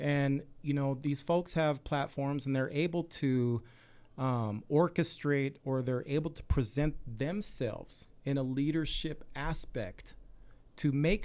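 A man with an American accent speaks in an ordinary speaking voice, fairly high in pitch, at a fairly slow pace. The recording is very clean with a silent background. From Salt Lake City, Utah. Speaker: community activist, military veteran. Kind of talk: radio interview.

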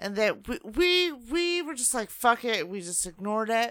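At a moderate pace, a woman with a bright, sharp tone swings her pitch very widely, in a very clean recording with a silent background. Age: 30s. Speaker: co-host's girlfriend. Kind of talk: casual chat. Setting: studio.

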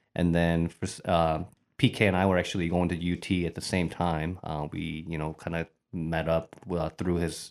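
On a very clean recording with a silent background, a man with a Midwestern American accent speaks at a moderate pace in a very deep, low pitch and a monotone, flat intonation. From Bowling Green, Ohio. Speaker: restaurant owner. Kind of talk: casual interview.

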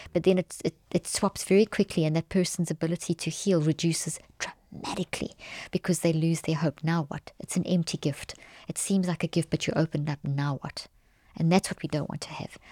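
Her voice sits fairly low for a woman and carries a dark, mellow tone. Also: very clean recording, silent background. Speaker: cognitive neuroscientist and author. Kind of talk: interview conversation. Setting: in-person studio.

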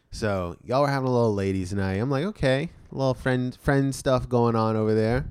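This man talks at a fairly quick pace with ordinary pitch variation in a plain, everyday voice. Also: medium pitch for a man. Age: 20s. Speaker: podcast co-host. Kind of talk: casual chat.

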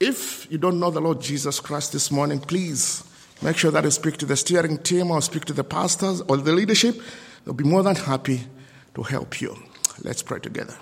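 With a non-native accent, a man speaks at a moderate pace with a fairly high pitch. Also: ordinary pitch variation. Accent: non-native accent, noticeable. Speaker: lay preacher. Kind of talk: sermon. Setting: church service with congregation.

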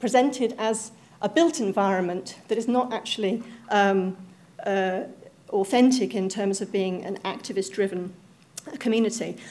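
A woman's fairly high voice, an unremarkable speaking voice with ordinary pitch variation at a moderate pace. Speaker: academic researcher in social geography. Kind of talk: panel talk presentation.

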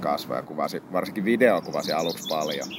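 A man's very deep, low voice at a fairly quick pace, over noticeable background noise. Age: 20s. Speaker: photographer. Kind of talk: interview. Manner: casual.

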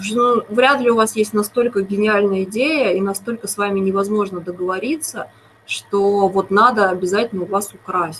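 A woman at medium pitch with ordinary pitch variation and a moderate pace, over noticeable background noise. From Moscow, Russia. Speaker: TV series screenwriter. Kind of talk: interview.

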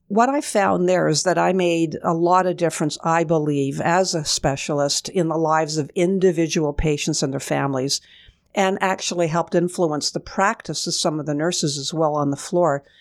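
A woman with a fairly low pitch talks at a moderate pace, with hardly any pauses and ordinary pitch variation. She has a normal speaking voice, on a very clean recording with a silent background. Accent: Canadian. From Kingston, Ontario, Canada. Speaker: retired hospital executive and nurse. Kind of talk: radio interview. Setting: radio studio.

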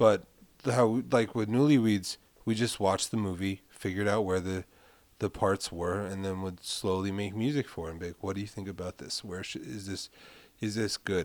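On a very clean recording with a silent background, a man with a New York accent speaks at a moderate pace, his fairly low voice keeping a fairly even intonation. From Brooklyn, New York (Carroll Gardens). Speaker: film composer. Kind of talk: casual chat.

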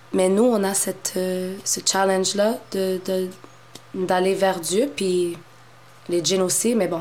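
A woman speaks at a very slow pace and medium pitch with monotone, flat intonation. Audible room echo and noticeable background noise surround her voice. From Montreal, Quebec (Moroccan family). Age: 30s. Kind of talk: casual interview conversation.

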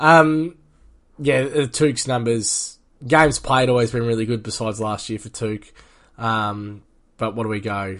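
A man with an Australian accent at a fairly slow pace, ordinary pitch variation and a quiet background. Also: medium pitch for a man. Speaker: fantasy football podcast host. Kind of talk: casual chat.

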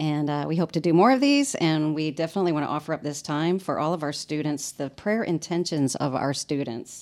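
Recorded very cleanly against a silent background, a woman with an American accent speaks at a very deep, low pitch. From Illinois, then US South. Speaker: parish youth ministry leader. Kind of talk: casual chat. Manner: halting.

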